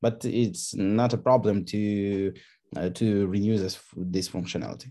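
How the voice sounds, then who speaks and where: Someone speaks with a non-native accent in a dark, mellow tone. The pace is fairly slow. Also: man. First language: not English. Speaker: contest participant presenting a solution. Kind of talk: online AMA discussion. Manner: halting, many fillers.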